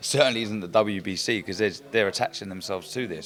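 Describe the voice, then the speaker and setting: A man with a fairly low pitch and ordinary variation in it speaks at a very fast clip. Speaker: retired boxer, boxing pundit. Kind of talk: casual interview chat.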